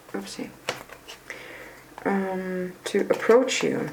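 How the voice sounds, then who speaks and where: A woman speaks very slowly at a medium pitch. Audible room echo and noticeable background noise are present. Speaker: tarot reader. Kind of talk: tarot reading. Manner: halting, many fillers and restarts; casual, chatty.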